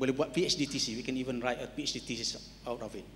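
A man speaks with a Malaysian accent. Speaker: qualification agency chief, panellist; panellist. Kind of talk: panel discussion. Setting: stage with audience. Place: hall. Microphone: handheld.

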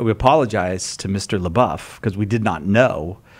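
Moderate pace with ordinary pitch variation. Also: man. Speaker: radio show host. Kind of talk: casual panel banter. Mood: joking, laughing. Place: studio. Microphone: studio mic.

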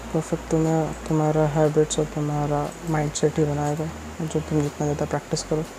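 A man speaking at a fairly slow pace, with music in the background. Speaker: vlogger. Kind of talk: casual vlog chat. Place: home room. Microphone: earbuds.

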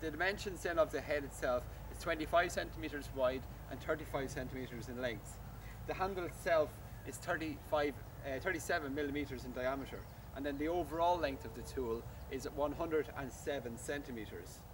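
Noticeable background noise sits under a man speaking with ordinary pitch variation. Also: moderate pace. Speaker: shop staff demonstrating a product. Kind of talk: product demonstration. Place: garden. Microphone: camera far.

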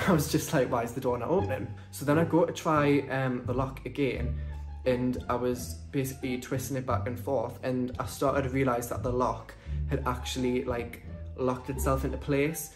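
Distinct music playing behind a man talking rather quickly. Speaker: vlogger. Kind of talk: casual vlog storytelling. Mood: animated story recounting. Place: home room. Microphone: phone near.

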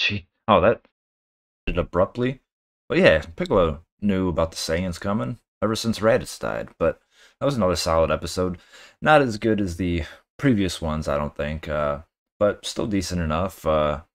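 The man's very deep, low voice breaks up with long, frequent pauses. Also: moderate pace, quiet background. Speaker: anime reaction video host. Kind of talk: casual reaction commentary and outro. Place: home room. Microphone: webcam.

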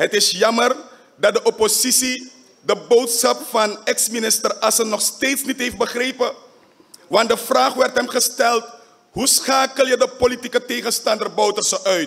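A man talks in an extremely high voice with monotone, flat intonation. His pace is fairly slow. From Suriname. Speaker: parliamentary faction leader. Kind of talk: parliamentary debate speech. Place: hall. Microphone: podium.

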